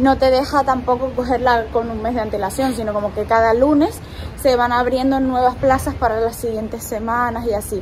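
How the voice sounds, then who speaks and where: A woman's high-pitched, monotone, flat delivery at a moderate pace over light background noise. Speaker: travel vlogger. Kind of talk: casual vlog chat. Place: street. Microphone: phone near.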